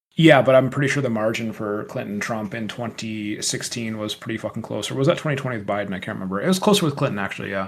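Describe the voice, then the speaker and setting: A man with an American accent talks at a very fast pace with hardly any pauses, his medium pitch rising and falling in an ordinary way over noticeable background noise. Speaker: podcast co-host, electrical engineer. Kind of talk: casual debate. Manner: animated.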